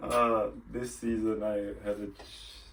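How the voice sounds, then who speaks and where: Audible room echo surrounds a man whose fairly low voice stays monotone and flat. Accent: non-native. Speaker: ice hockey player. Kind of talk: podcast interview. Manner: hesitant, halting, many fillers.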